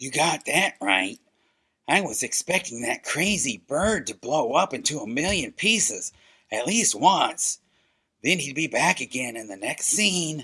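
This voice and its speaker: Using a cartoonish character voice, a man speaks at a fairly high pitch and a moderate pace. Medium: puppet show. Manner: wry, teasing.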